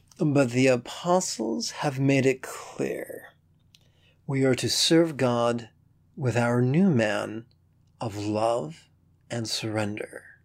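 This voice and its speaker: A man at medium pitch speaks at a very slow pace. Long, frequent pauses run through his speech. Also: ordinary pitch variation. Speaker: Buddhist teacher and podcast host. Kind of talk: poem performed, short spiritual poems read aloud in a teacherly, scripted style.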